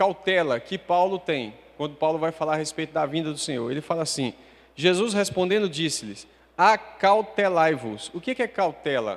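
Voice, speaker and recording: A high-pitched man with lively intonation. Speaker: preacher. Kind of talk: sermon.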